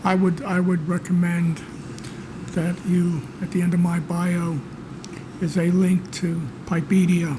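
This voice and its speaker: A man with a high pitch speaks at a fairly slow pace in monotone, flat intonation, with very even loudness and long, frequent pauses over noticeable background noise. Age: 70s. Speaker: podcast co-host, pipe writer. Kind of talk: casual chat. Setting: back room of a library.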